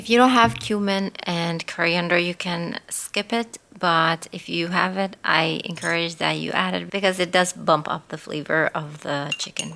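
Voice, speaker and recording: Speaking at a moderate pace with hardly any pauses, a woman with a non-native accent has a bright, sharp tone. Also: fairly low pitch for a woman, ordinary pitch variation. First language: not English. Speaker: cooking channel host. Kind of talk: cooking tutorial.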